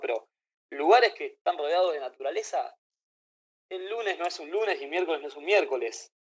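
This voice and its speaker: Man in a Rioplatense accent at a fairly quick pace. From Argentina, Buenos Aires. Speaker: traveler and author. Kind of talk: casual chat. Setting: video call.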